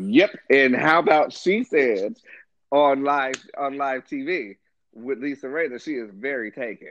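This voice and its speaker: With an unremarkable speaking voice, a man at a fairly high pitch talks at a fairly slow pace using lively intonation. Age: 30s. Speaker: guest co-host. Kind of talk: casual chat.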